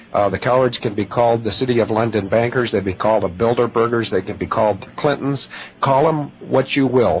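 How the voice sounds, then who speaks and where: Very fast male speech at a medium pitch, over noticeable background noise. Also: ordinary pitch variation. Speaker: activist guest. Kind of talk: radio interview. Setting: radio show.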